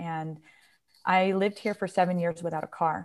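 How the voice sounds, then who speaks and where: A normal speaking voice with an American accent talks at a fairly quick pace with fairly even intonation in a very clean recording with a silent background. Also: woman. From New York, small town. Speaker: professor of ethnomusicology. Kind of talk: casual interview.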